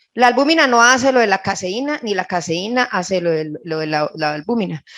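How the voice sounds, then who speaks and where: A woman with a Colombian paisa accent, lively intonation and a moderate pace. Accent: Colombian Paisa (Caldas) Spanish. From Colombia, Caldas. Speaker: nutritionist. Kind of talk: lecture.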